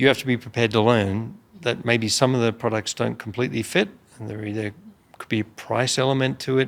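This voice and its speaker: A man with an Australian accent speaks at a very fast pace in a medium pitch. His intonation is fairly even, while his loudness swings widely. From rural Australia. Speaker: business executive. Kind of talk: interview.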